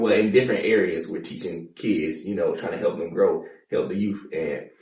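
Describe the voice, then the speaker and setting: A man is heard with audible room echo. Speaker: podcast host and firefighter. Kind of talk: casual interview chat.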